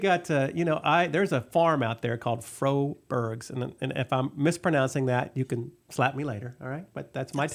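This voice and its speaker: In a Texas accent, a man with a fairly high pitch talks at a moderate pace with hardly any pauses. His pitch variation is ordinary, and the recording is very clean with a silent background. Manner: casual, chatty, lots of fillers.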